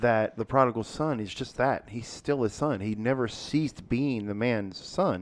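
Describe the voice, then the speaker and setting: An ordinary speaking voice talks at a fairly slow pace. Its pitch variation is ordinary. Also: man. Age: 40s. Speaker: podcast co-host discussing church sermon series. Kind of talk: casual chat. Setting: podcast room.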